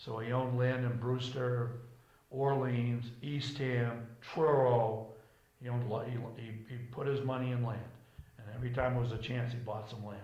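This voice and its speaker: A man with a New England accent and monotone, flat intonation, with noticeable background noise and audible room echo. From Cape Cod, Massachusetts. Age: 70s. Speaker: local resident interviewee. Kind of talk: oral history interview.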